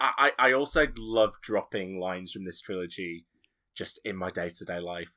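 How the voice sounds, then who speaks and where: A man's very deep, low-pitched voice with a bright, sharp tone, ordinary pitch variation and big swings in loudness, at a moderate pace, in a very clean recording with a silent background. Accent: Yorkshire. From Yorkshire, northern England. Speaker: podcaster. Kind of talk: casual chat.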